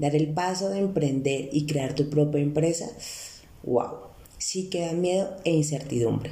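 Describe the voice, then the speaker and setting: A woman with a very deep, low pitch talks at a fairly slow pace with ordinary pitch variation. Audible room echo and noticeable background noise fill the recording. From Colombia, Bogotá. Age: 30s. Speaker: financial coach. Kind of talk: podcast monologue.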